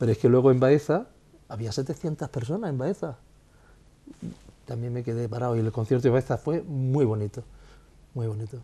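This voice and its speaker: A man speaks fairly quickly yet with long, frequent pauses. His medium-pitched voice is somewhat breathy, with a dark, mellow tone and ordinary pitch variation. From Spain, Jaén (Andalusia). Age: 50s. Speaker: musician. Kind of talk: interview. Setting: home living room.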